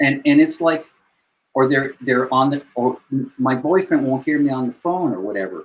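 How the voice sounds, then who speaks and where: Ordinary pitch variation in a fairly high male voice. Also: moderate pace. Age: 60s. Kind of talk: casual chat.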